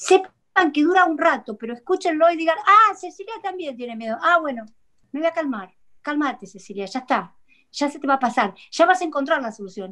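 A woman's raised, projected voice, high-pitched, bright and sharp, in a Rioplatense accent, with very wide pitch swings, big swings in loudness and a fairly quick pace, over a quiet background. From Argentina. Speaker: psychologist; guest. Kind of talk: talk show interview. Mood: earnest, reassuring. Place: home room. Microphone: video call.

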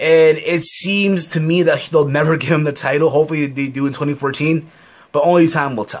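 A man talks in a plain, everyday voice with an American accent. His pitch is fairly high, his intonation fairly even and his pace moderate. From US, Peruvian parents. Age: 20s. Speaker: YouTuber, wrestling commentator. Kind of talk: casual Q&A vlog. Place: home room. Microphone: webcam.

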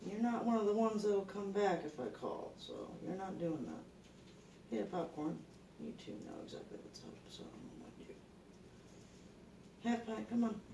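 The speaker has a Southern US accent and a moderate pace with long, frequent pauses. Noticeable background noise is present. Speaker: pet rat owner. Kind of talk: casual talk to pet rats. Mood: encouraging, playful. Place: home room. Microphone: phone near.

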